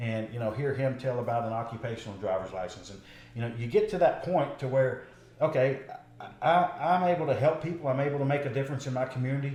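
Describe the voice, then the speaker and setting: With noticeable background noise and audible room echo, a man of medium pitch speaks very fast with ordinary pitch variation. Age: 40s. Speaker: political candidate, patrol deputy. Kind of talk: interview.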